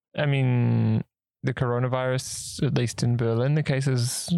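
A man with a New Zealand accent has a dark, mellow tone at medium pitch and fairly even intonation. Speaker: podcast co-host. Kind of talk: casual chat.

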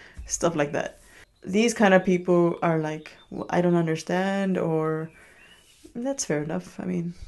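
At a fairly slow pace, a woman talks in a fairly low pitch. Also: ordinary pitch variation. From Chicago, Little Village (Mexican-American neighborhood). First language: Spanish. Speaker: chef and restaurant owner. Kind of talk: interview conversation.

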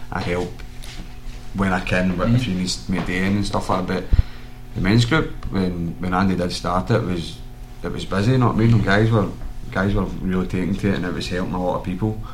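Very deep and low in pitch, a man with a Lanarkshire accent talks at a very fast pace with ordinary pitch variation. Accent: Lanarkshire Scottish. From Lanarkshire, Scotland. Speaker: mixed martial arts fighter. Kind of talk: casual chat.

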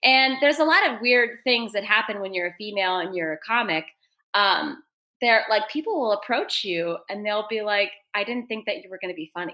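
A woman's fairly high, lively voice at a fairly quick pace. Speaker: podcast producer. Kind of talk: casual chat. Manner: fast talker.

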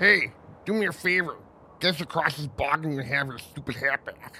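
At a moderate pace, a put-on character voice sits at middle pitch. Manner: bubbly, teasing.

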